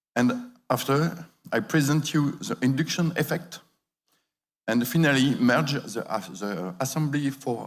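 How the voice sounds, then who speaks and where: A man with a French accent speaks at a fairly slow pace, his medium-pitched voice carrying lively intonation. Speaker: industry expert speaker. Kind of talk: conference presentation. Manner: halting.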